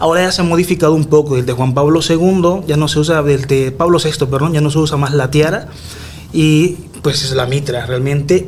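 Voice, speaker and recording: A man speaks at a moderate pace with a fairly high pitch and fairly even intonation. There is audible room echo and noticeable background noise. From Nicaragua. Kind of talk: radio interview. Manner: conversational, with hesitations.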